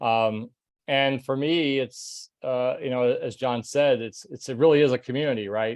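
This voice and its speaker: A man's medium-pitched voice with ordinary pitch variation, a normal speaking voice, over a quiet background. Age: 60s. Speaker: retired corporate manager turned online entrepreneur. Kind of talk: testimony.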